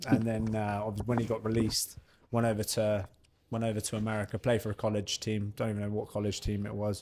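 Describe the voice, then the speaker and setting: A man's very fast, monotone, flat delivery in a southern English accent, dark and mellow in tone and fairly low in pitch. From southern England, Bournemouth area (Dorset). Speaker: professional boxer. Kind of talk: casual interview chat.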